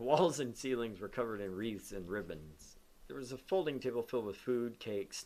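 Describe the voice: Ordinary pitch variation in plain reading aloud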